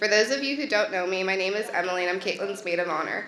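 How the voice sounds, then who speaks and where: A woman talks with a medium pitch. There is audible room echo and noticeable background noise. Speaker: maid of honor giving wedding toast. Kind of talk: wedding toast. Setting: wedding reception. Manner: loud.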